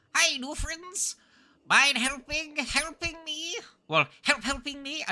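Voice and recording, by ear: A high-pitched, put-on character voice speaks. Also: fairly slow pace.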